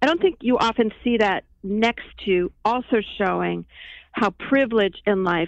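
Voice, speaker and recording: Her voice is an unremarkable speaking voice, a woman's at medium pitch with ordinary pitch variation. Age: 50s. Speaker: documentary filmmaker. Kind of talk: interview.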